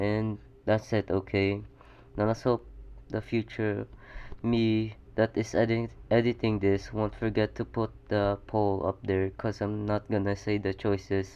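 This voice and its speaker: Mumbling at a fairly slow pace, a man speaks in a fairly low pitch with a dark, mellow tone and monotone, flat intonation. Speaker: fan fiction storyteller. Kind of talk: casual story narration. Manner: stuttering.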